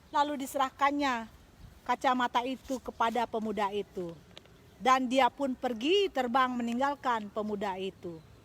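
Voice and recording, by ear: A woman at a fairly high pitch and moderate pace, with ordinary pitch variation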